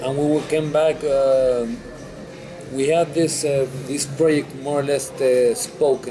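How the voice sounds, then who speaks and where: Over music in the background, a man speaks at a fairly slow pace with a fairly high pitch and fairly even intonation. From Chile, Santiago. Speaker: restaurant owner. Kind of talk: interview. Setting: restaurant. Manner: halting, many fillers.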